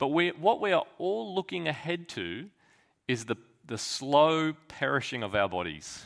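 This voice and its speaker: Over a silent background on a very clean recording, a man with a fairly high pitch speaks at a fairly slow pace with very wide pitch swings. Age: 30s. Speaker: pastor. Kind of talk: sermon.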